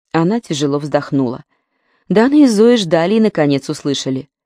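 In a very clean recording with a silent background, a woman speaks at a fairly quick pace with lively intonation. Her voice is low-pitched, with a dark, mellow tone. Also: dry, close sound with no echo.

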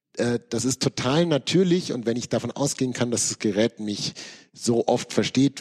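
A man speaks with a medium pitch. His voice has a slightly husky edge.

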